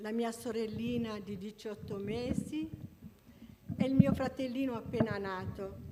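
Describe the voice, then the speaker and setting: A woman with an Apulian accent, fairly high-pitched, at a fairly slow pace with long, frequent pauses, fairly even intonation, big swings in loudness, and noticeable background noise. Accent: Apulian, noted by herself. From Apulia, southern Italy. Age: 70s. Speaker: church member giving testimony. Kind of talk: testimony. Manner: halting.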